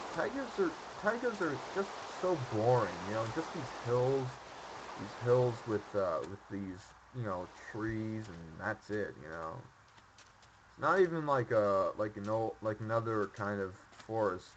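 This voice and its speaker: A quiet man at medium pitch, fairly slow pace, lively intonation and big swings in loudness, with noticeable background noise. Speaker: streamer. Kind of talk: casual gameplay commentary. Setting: home microphone.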